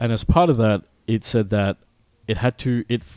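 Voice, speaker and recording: Someone speaks at a fairly quick pace with an Australian accent. The recording is very clean, with a silent background and a dry, close sound with no echo. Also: man. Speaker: video game podcast host. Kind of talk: casual chat.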